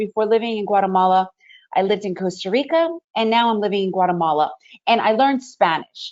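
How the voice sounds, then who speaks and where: Using an ordinary speaking voice, a woman talks at a fairly quick pace with a fairly high pitch and ordinary pitch variation. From USA (born in Ukraine, raised in the US). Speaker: day trader presenter. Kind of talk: webinar presentation.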